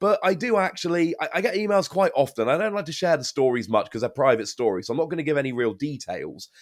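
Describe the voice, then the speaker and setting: On a very clean recording with a silent background, a man with an English accent speaks with lively intonation. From England. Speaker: YouTuber and game caster. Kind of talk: casual interview chat.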